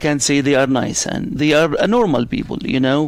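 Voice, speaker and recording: A man speaks with an Arabic accent. His pitch is fairly high and his pace fairly quick. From Middle East, Arabic-speaking. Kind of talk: interview. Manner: loud; fast.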